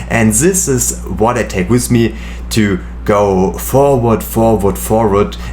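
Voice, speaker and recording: With a German accent, a man speaks at a very slow pace in a fairly low voice, his pitch swinging very widely while his loudness stays very even. The recording has audible room echo and noticeable background noise. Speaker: medical student and youtuber. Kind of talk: casual chat. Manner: halting.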